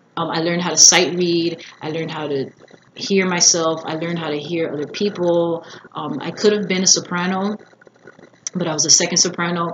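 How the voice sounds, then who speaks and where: Over noticeable background noise, a woman with a fairly low pitch talks at a fairly quick pace, her loudness swinging widely. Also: fairly even intonation. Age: 30s. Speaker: singer and vlogger. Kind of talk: casual vlog. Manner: casual, filler-heavy.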